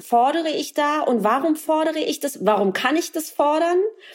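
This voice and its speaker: A woman speaks with a high pitch and lively intonation. Her pace is fairly quick. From East Berlin, former East Germany. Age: 40s. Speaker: author and journalist. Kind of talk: interview.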